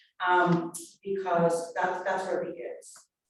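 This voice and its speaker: With audible room echo around her, a woman speaks at a moderate pace with fairly even intonation. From immigrant, came to the US as a child. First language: not English. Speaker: public defender lawyer. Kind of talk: panel discussion. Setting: video call. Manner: hesitant, many fillers.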